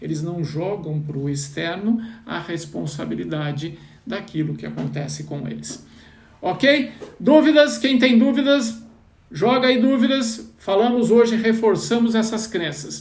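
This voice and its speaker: A man talks at a fairly slow pace in a high voice, with very wide pitch swings and big swings in loudness. The room echo is audible. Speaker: financial mindset coach. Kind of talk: live online class. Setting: Instagram live stream.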